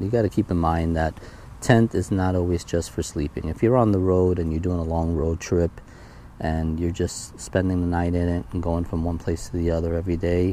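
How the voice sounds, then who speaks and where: A man with a very deep, low pitch speaks at a moderate pace. The sound is dry with no echo, with light background noise. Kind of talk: gear walkthrough tutorial. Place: garden. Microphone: phone near.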